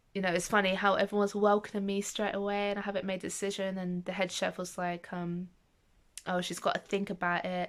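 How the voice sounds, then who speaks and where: An unremarkable speaking voice moves with fairly even intonation. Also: woman. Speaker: vlogger. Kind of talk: casual vlog talk.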